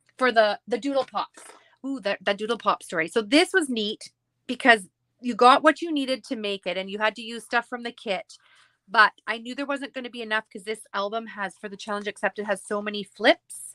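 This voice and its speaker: In a dry, close sound with no echo, a woman with a bright, sharp tone and a fairly high pitch talks at a fairly quick pace, with ordinary pitch variation and big swings in loudness. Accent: Canadian. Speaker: scrapbooking crafter. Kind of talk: casual chat.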